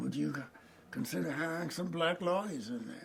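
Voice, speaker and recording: Noticeable background noise fills the clip. A man talks over it at a moderate pace. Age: 80s+. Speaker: civil rights lawyer. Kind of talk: oral history interview answer.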